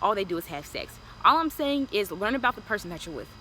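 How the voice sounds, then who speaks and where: With an American accent, a woman talks at a very fast pace in an animated tone with very wide pitch swings, over noticeable background noise. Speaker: lifestyle vlogger. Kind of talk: advice vlog.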